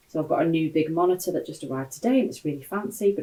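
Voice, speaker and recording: A woman with a British accent, very deep and low in pitch, dark and mellow in tone, at a very fast pace with ordinary pitch variation. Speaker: sales trainer. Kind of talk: live-stream talk. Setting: home office, livestream. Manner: loud.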